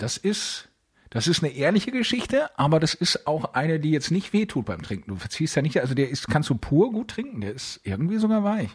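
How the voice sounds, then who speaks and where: Using vocal fry, a man with a fairly high pitch speaks at a fairly quick pace with very wide pitch swings. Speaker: podcast co-host. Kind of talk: casual chat. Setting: recording from home, remote. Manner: calm, composed.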